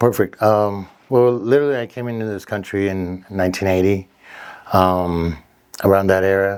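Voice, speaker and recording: A man with a Spanish accent, fairly low in pitch, at a moderate pace with fairly even intonation. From Mexico, then Downey, California from about age 12. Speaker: fitness trainer and gym owner. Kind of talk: podcast interview.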